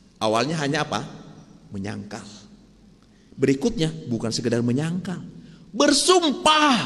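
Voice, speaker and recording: A man speaks at a fairly slow pace with long, frequent pauses, and audible room echo surrounds his voice. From Sumatra, Indonesia. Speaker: pastor. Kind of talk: sermon. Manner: conversational, asks the congregation questions.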